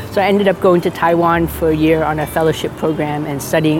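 A woman with a very deep, low pitch, talking at a very fast pace with fairly even intonation over noticeable background noise. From Boston, US. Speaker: pastor. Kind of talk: testimony.

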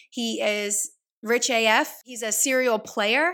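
A woman with an American accent speaks in an animated tone with vocal fry. The recording is very clean, with a silent background. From US South, Louisiana. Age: 20s. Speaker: podcast host. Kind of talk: casual monologue.

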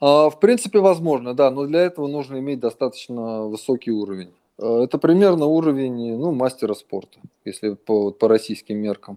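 Lively intonation from a man at medium pitch, dark and mellow in tone, at a moderate pace. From Russia. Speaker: runner and running coach. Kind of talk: interview.

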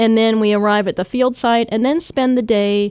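Recorded with a dry, close sound and no echo, a woman speaks at a moderate pace with a West Coast US accent. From US West Coast, Washington State. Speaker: archaeologist. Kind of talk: interview.

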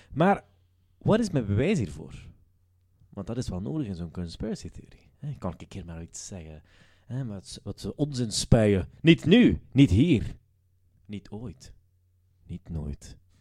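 A man's fairly low, dark, mellow voice, somewhat breathy, with very wide pitch swings, big swings in loudness, and long, frequent pauses. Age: 20s. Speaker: comedy podcast host. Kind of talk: casual chat.

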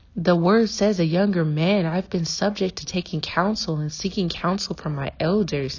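A woman's voice comes across somewhat breathy, with ordinary pitch variation. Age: 20s. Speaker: podcast host. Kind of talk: devotional teaching.

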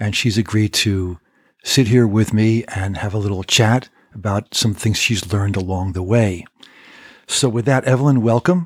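Recorded very cleanly against a silent background, a man with a fairly low pitch has an unremarkable speaking voice, ordinary pitch variation and a moderate pace. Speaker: podcast host. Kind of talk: interview. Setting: in person.

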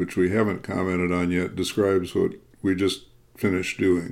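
A man's very deep, low voice with an American accent. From US Midwest, Chicago area. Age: 80s+. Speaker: podcast co-host, author. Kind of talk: reflective casual conversation. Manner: halting, frequent repetitions.

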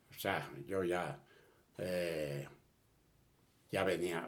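A man talks in a very deep, low pitch, and audible room echo surrounds his voice. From Spain (Catalonia, near Barcelona). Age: 80s+. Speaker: refugee of the Spanish Civil War, elderly father. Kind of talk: personal testimony in an interview. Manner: halting with repetitions.

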